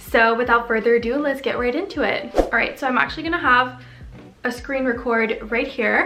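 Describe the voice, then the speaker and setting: Over music in the background, a woman speaks at a moderate pace with a high pitch and fairly even intonation, with audible room echo. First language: French. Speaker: lifestyle vlogger. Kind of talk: tutorial. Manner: casual, chatty.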